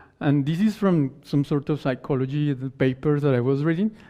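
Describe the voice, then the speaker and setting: Fairly high in pitch, this man's voice has fairly even intonation. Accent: Spanish. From Colombia. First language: Spanish. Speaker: conference speaker. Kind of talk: conference talk. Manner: halting.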